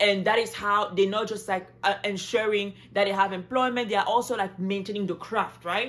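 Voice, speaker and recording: At a fairly quick pace and with hardly any pauses, a woman speaks at a medium pitch. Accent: French. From Cameroon. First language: French. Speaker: travel vlogger. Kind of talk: casual vlog talk. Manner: animated.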